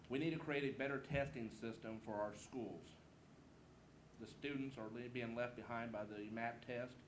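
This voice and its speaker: A man with a Southern US accent, medium-pitched, at a fairly quick pace and with fairly even intonation, amid noticeable background noise and audible room echo. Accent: southern twang. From Southeast Missouri. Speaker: political candidate. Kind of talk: campaign speech. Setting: candidate forum with audience. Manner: informal, folksy.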